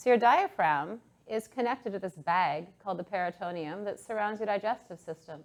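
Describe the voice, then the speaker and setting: At a moderate pace, a woman with an ordinary speaking voice talks at a medium pitch with lively intonation. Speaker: breathwork and yoga instructor. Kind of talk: guided breathwork class instruction. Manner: calm, instructive.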